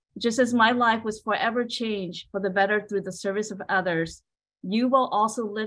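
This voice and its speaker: The voice carries a Southeast Asian accent. Its pace is moderate and its intonation fairly even. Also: woman. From Hmong refugee family, grew up in US. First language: Hmong. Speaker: state service program director. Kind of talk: prepared speech; welcome address. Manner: halting. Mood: warm, encouraging. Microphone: video call.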